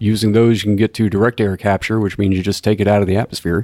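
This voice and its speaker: A man with a Texan accent speaks in a dark, mellow tone at fairly low pitch, his delivery monotone and flat, the sound dry and close with no echo. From Texas (Corpus Christi). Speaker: chemical engineer. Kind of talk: technical explanation. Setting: in-person recording.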